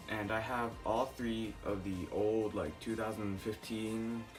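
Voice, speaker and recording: A man speaks with a fairly low pitch. Music plays in the background. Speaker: toy collector, video maker. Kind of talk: casual talk to camera. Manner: quiet, soft-spoken.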